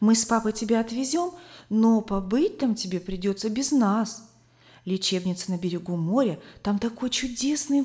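What we hear is plain reading aloud.

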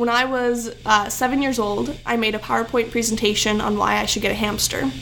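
Over music in the background, a woman speaks at a fairly quick pace and fairly high pitch. Her intonation is fairly even, and room echo is audible. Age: young. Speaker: poet. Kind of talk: poetry reading; casual chat.

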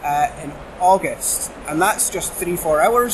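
A man with a high pitch talks with ordinary pitch variation while noticeable background noise carries on. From Shetland, Scotland. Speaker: convention volunteer. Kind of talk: casual chat. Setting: convention venue.

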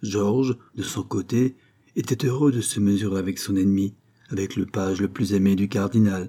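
Aloud reading, plain and simple

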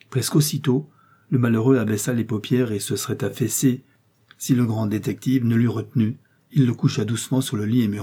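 This is a natural reading voice. Its intonation is fairly even.

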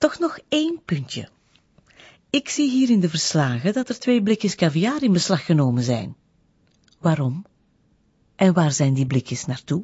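A woman puts on a character voice with big pitch swings, fairly low overall, with a dark, mellow tone and a slightly husky edge. She leaves long, frequent pauses. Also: fairly slow pace.

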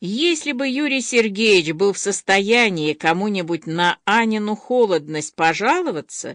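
The intonation rises and falls in a lively way. The delivery is plain reading aloud.

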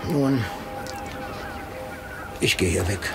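Clear background noise sits behind a man doing a put-on character voice with vocal fry. He speaks very slowly in a fairly low pitch with lively intonation.

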